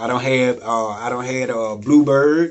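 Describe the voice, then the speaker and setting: Fairly even intonation from a man at a medium pitch, paced moderately. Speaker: music producer teaching home recording. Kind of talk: tutorial. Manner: casual, conversational.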